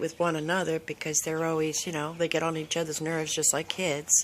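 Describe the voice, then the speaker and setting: Moderately paced speech from a woman, fairly low in pitch. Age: 60s. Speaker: dog owner. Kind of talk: casual chat. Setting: outdoors.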